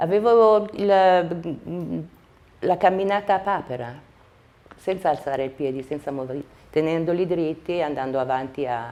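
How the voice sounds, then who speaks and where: Using lively intonation, a woman with a fairly low pitch talks at a fairly slow pace with long, frequent pauses. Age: 60s. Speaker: patient giving a testimonial. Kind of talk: testimony. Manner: halting.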